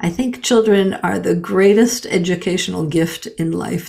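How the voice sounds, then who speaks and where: A woman talks at a moderate pace with a medium pitch, ordinary pitch variation, vocal fry and a dark, mellow tone. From Canada. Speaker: gender balance consultant and author. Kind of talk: interview.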